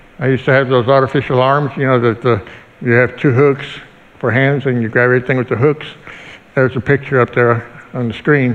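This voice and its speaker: A man of medium pitch speaks at a fairly quick pace in a monotone, flat intonation. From Mexico City. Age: 50s. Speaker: motivational speaker. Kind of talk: church testimony talk. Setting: church with congregation.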